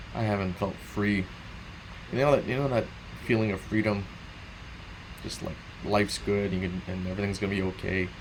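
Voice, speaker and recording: Amid audible room echo, a man with a fairly low pitch talks at a fairly quick pace with fairly even intonation, broken by long, frequent pauses. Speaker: gaming streamer. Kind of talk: casual late-night monologue.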